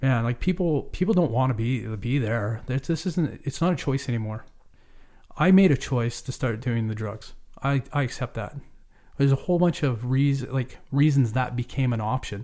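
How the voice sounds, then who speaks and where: In a very clean recording with a silent background, a man with a Canadian accent speaks at a moderate pace in a medium pitch, with a dark, mellow tone and ordinary pitch variation. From Vancouver Island, Canada (Cowichan Valley). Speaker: charity renovation director, former carpenter. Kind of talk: interview, personal testimony. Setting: recording studio.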